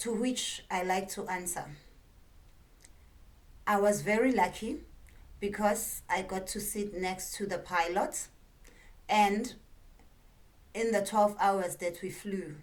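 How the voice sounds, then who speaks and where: A woman with a South African accent, medium pitch, fairly even intonation and a very slow pace broken by long, frequent pauses. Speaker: stand-up comedian. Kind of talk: comedic talk to camera.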